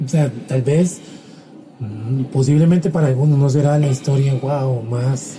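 With noticeable background noise, a man speaks at a fairly slow pace, leaving long, frequent pauses. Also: fairly high pitch for a man. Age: 30s. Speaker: podcast co-host. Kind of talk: casual chat. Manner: halting.

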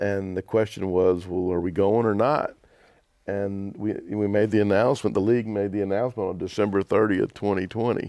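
A man with a Southern US accent, fairly low pitch, fairly quick pace and fairly even intonation. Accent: US South. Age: 60s. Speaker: basketball team owner and entertainment promoter. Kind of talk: casual interview.

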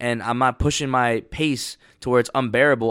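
A man speaks at a medium pitch in an ordinary speaking voice with fairly even intonation. The recording is very clean, with a silent background. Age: 20s. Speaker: motivational podcaster. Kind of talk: motivational monologue. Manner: casual, filler-heavy.

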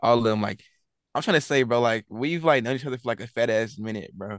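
A very fast, medium-pitched male voice with fairly even intonation. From Texas, San Antonio. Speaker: rapper, collective member. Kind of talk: casual interview.

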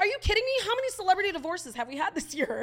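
A woman puts on a squeaky character voice at an extremely high pitch with very wide pitch swings. She talks at a very fast pace over light background noise. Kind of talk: fast talking. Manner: incredulous, rapid-fire.

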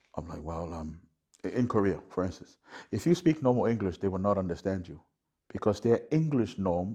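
Speaking with a Samoan accent, a man uses a dark, mellow tone at a fairly low pitch, with big swings in loudness. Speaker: guest host and corporate MC. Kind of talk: casual chat.

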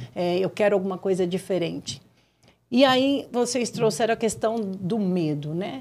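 A woman's medium-pitched voice, fairly slow in pace, with lively intonation. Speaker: developmental consultant and neuropsychopedagogue. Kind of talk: casual interview. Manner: halting.

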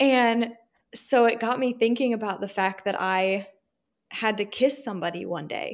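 Using an ordinary speaking voice, a woman with an American accent speaks at a fairly high pitch. Her pace is moderate and her pitch variation is ordinary. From Virginia. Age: 20s. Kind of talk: testimony.

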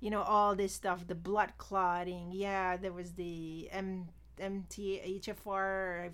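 Very slowly, a woman talks at a medium pitch with monotone, flat intonation. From immigrated to US at 18, non-US origin. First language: not English, learned on arrival. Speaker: former finance worker, IVF patient. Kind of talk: casual interview, personal testimony.

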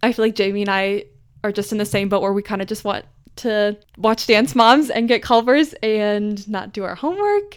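Recorded very cleanly against a silent background, a woman speaks in a fairly high pitch with ordinary pitch variation. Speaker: podcast host. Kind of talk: solo monologue. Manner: rambling.

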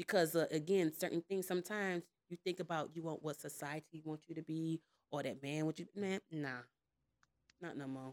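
A woman speaks in a plain, everyday voice at a moderate pace, her pitch fairly low and her intonation fairly even, with a dry, close sound and no echo. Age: 30s. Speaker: podcast panelist. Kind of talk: casual chat.

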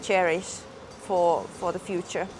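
A woman with a Finnish accent speaks at a fairly slow pace and medium pitch. Music plays in the background. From Finland. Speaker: podcast host. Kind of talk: casual chat. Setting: outdoors by hotel pool.

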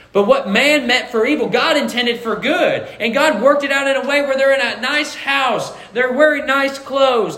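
Audible room echo and noticeable background noise around a man talking at a moderate pace with ordinary pitch variation. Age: 20s. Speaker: pastor. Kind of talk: sermon.

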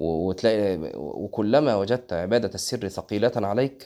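Speaking with an Egyptian accent, a man uses a fairly low, dark, mellow voice at a fairly slow pace with ordinary pitch variation. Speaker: Islamic preacher. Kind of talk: religious lesson. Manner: conversational.

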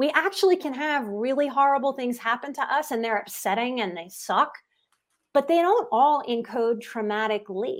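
With an American accent, the speaker talks at a moderate pace and with lively intonation, recorded very cleanly against a silent background. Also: woman. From US South, New Orleans, Louisiana. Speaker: psychotherapist and life coach. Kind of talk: interview conversation.

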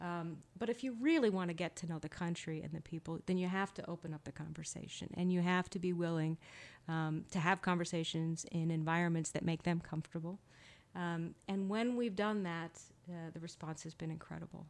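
A woman with an American accent and an unremarkable speaking voice, fairly low in pitch, fairly quick, with fairly even intonation, in a very clean recording with a silent background. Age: 50s. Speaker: ambassador. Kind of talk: interview.

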